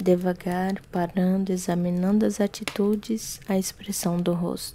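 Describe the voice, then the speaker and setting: A soft-spoken woman talks at a fairly slow pace in a somewhat breathy voice with a dark, mellow tone. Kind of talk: ASMR reading of a classic novel.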